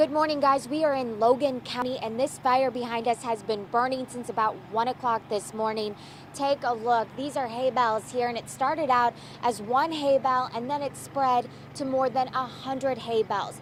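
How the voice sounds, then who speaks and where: Noticeable background noise surrounds a woman speaking in a high voice. Her pace is moderate and her intonation fairly even. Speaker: TV news reporter and anchor. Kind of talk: TV news anchor and reporter.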